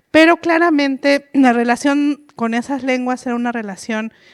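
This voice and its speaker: A woman at a fairly slow pace with ordinary pitch variation, in a very clean recording with a silent background and a dry, close sound with no echo. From Mexico, Oaxaca Mixe region. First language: Mixe (speaking Spanish). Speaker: author and linguist, panelist. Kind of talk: panel talk. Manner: halting, many fillers.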